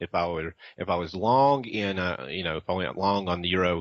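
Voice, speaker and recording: Speaking with a Southern US accent, a man uses a very deep, low pitch at a moderate pace. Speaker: trader. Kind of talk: interview. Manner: halting, many fillers.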